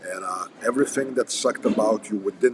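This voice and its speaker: A man speaks at a fairly quick pace with a Russian accent. Noticeable background noise runs underneath. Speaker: firearms and combat instructor. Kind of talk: casual livestream chat. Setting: coffee house.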